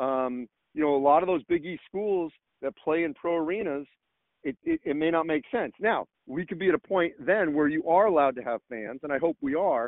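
A man speaks in a normal speaking voice at a fairly high pitch. His pace is moderate and his pitch variation ordinary. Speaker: college sports journalist. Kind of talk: casual interview.

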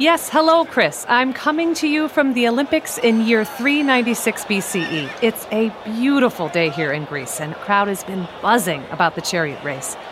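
A woman's fairly high voice with very wide pitch swings and hardly any pauses, over noticeable background noise. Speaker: roving reporter. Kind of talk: live race commentary, chariot race call. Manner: fast, breathless, animated, rising excitement.

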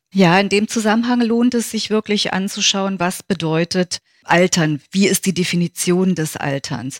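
An unremarkable speaking voice from a woman at medium pitch, ordinary pitch variation and a fairly slow pace, in a dry, close sound with no echo. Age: 50s. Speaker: yoga teacher and physiotherapist. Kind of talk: interview.

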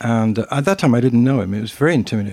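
Talking at a very fast pace, a man with a dark, mellow tone holds a medium pitch and fairly even intonation. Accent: British. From Britain. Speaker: former radio/TV host. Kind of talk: casual interview storytelling.

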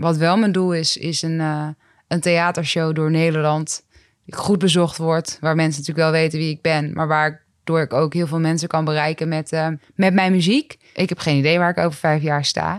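Her intonation stays monotone and flat as this woman speaks at a very deep, low pitch. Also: moderate pace. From Netherlands, Groningen province. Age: 20s. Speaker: rapper and psychologist. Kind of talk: casual interview. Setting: office.

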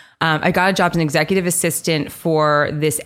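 With a very deep, low pitch, a woman keeps her intonation fairly even. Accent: American. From New York City. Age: 20s. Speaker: venture fund co-founder. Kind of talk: casual interview.

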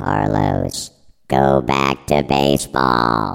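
A man puts on a character voice, croaky and very deep. He speaks at a very slow pace. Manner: commanding.

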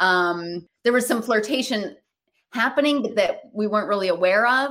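With an American accent, a woman talks at a moderate pace in a plain, everyday voice, her pitch medium and her intonation lively. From Michigan, US Midwest. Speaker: comedian and actor. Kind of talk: casual interview.

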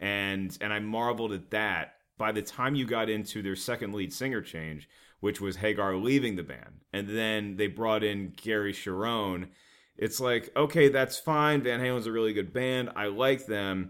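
At a moderate pace, a man with an American accent and a plain, everyday voice speaks at a fairly low pitch with ordinary pitch variation. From US South. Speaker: comedian. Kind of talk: casual chat.

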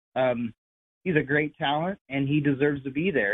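A man's fairly high-pitched, plain, everyday voice at a moderate pace. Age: 40s. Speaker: retired sprint car racer. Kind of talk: casual interview. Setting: phone call.

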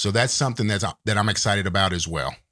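A man with a Texan accent and ordinary pitch variation, on a very clean recording with a silent background. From Texas. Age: 50s. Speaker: podcast co-host. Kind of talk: casual chat.

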